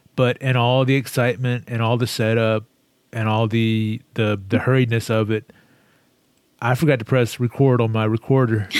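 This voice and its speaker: A man speaks at a moderate pace in a monotone, flat intonation. His loudness stays very even. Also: medium pitch for a man. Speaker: podcast co-host. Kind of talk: casual chat. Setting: video call.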